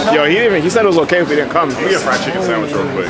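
A man's voice over loud background noise. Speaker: vlogger. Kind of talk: casual vlog chat. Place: market. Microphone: phone near.

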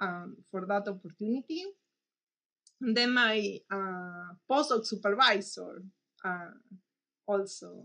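The pace is very slow, with ordinary pitch variation. The background is quiet. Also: woman. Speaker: mathematician. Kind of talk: interview monologue. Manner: halting, hesitant. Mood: warm, reflective. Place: office. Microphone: webcam.

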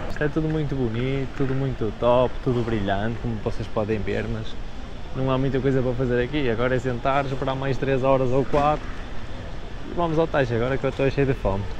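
A man talks at a fairly quick pace. The sound is dry with no echo, over noticeable background noise. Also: fairly even intonation. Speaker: travel vlogger. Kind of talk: casual vlog chat. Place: hall. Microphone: lapel.

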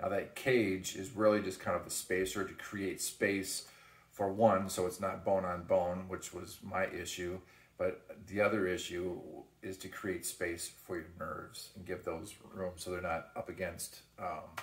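A man's very deep, low voice comes out somewhat breathy and in a flat monotone. Room echo is audible. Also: fairly slow pace. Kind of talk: casual vlog chat. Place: kitchen. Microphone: phone near.

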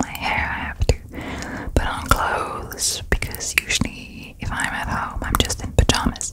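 Whispering softly, a woman speaks at a moderate pace. Loud noise fills the background. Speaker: ASMR creator. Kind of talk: soft casual ASMR chat. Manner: soft close-mic ASMR whisper. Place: home room. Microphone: studio mic.

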